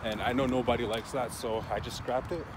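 Noticeable background noise sits behind a man speaking at a fairly quick pace. The sound is dry, with no echo. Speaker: vlogger fisherman. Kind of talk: casual vlog chat. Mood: relaxed, reflective. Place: waterside. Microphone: phone near.

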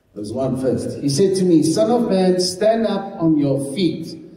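With lively intonation and a fairly slow pace, a man speaks in a high pitch amid audible room echo. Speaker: pastor. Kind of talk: sermon. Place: church.

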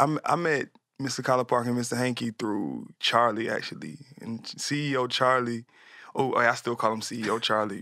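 Speaking at a fairly slow pace, a man with an American accent has a bright, sharp tone and fairly even intonation, recorded dry with no echo against a quiet background. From US South, Atlanta; US South. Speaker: music producer and artist; guest. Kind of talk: casual interview chat. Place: studio. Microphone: studio mic.

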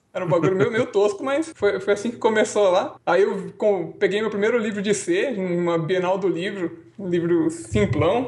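The pace is moderate, with ordinary pitch variation. Noticeable background noise runs underneath. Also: man. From Brazil, São Paulo. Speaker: software developer. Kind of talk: casual chat.

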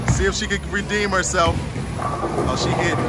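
A man talks through loud background noise, his voice dry with no echo. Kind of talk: casual vlog commentary. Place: hall. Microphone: phone near.

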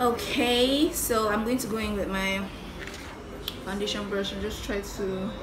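Music plays in the background as a woman speaks at a fairly slow pace. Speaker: beauty vlogger. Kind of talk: tutorial. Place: home room. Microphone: phone near.

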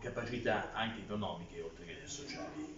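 A man speaks over noticeable background noise. Room echo is audible. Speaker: candidate. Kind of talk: interview answer. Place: office. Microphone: phone near.

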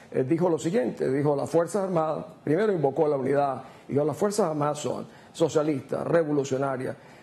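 Somewhat breathy and dark, mellow in tone, a woman with a very deep, low pitch speaks at a fairly quick pace with ordinary pitch variation. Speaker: political commentator. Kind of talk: news interview. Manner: assertive. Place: studio. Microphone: lapel.

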